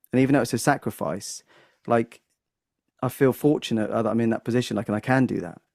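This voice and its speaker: A man's very fast speech with long, frequent pauses and vocal fry, in a dry, close sound with no echo. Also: medium pitch for a man, ordinary pitch variation, very clean recording, silent background. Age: 40s. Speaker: comedian and music teacher. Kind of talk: casual podcast conversation. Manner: halting with frequent fillers.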